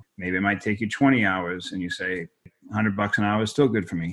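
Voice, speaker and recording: The background is quiet. A man with a slight Boston accent speaks at a fairly low pitch. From Boston, Massachusetts. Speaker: tech company executive. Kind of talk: interview.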